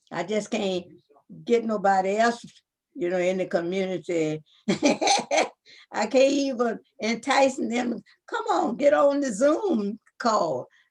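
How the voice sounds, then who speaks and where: A woman's fairly high voice with lively intonation at a very slow pace, broken by long, frequent pauses. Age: 80s+. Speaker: community elder. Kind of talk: community meeting on video call. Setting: video call.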